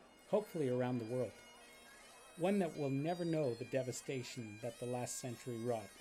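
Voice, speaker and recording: Music can be heard in the background. Over it, a man speaks at a fairly quick pace. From Netherlands. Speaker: community volunteer narrator. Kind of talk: scripted narration.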